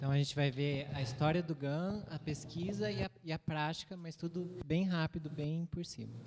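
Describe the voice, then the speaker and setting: A man's fairly high-pitched voice at a very fast pace, over noticeable background noise. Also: ordinary pitch variation. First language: Portuguese. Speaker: interpreter. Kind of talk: consecutive interpreting.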